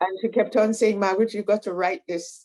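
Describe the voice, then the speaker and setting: A woman speaks at a medium pitch in a dark, mellow tone. Her pace is moderate. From Tobago. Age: 80s+. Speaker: retired nursing leader, author. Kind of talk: interview, life story. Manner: halting, with restarts.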